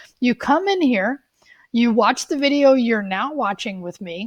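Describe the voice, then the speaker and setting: A woman's unremarkable speaking voice, fairly high in pitch with lively intonation, at a moderate pace over a quiet background. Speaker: college coding instructor. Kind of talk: tutorial.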